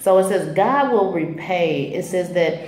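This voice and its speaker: A woman's fairly low voice with audible room echo. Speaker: faith vlogger. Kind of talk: devotional vlog teaching. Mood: calm, earnest. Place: home room. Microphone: phone near.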